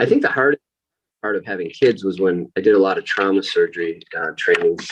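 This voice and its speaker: Speaking at a fairly quick pace, a man talks. He has a slight upstate New York accent. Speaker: plastic surgeon. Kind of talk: interview.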